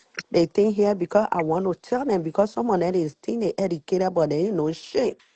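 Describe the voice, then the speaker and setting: A woman's animated, medium-pitched voice with ordinary pitch variation and a strong Liberian accent. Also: fairly quick pace. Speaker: live stream participant. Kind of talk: heated discussion.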